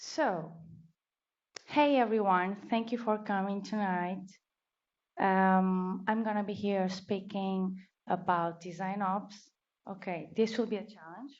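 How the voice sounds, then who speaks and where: In a room with audible echo, a woman with a Portuguese accent speaks at medium pitch and a very slow pace, with fairly even intonation and long, frequent pauses. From Portugal. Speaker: designer, meetup speaker. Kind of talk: conference talk.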